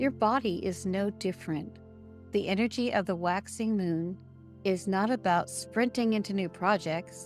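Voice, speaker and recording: A woman at a medium pitch in a calm, gentle tone, with very wide pitch swings and a fairly slow pace, over background music. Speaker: podcast host. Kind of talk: guided spiritual podcast narration, meditation-style. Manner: calm, slow, gentle, with pauses.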